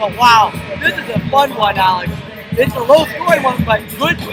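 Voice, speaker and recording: With music in the background, a man speaks loudly at an extremely high pitch, his tone animated and his intonation lively. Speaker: play-by-play sports commentator. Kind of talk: live commentary.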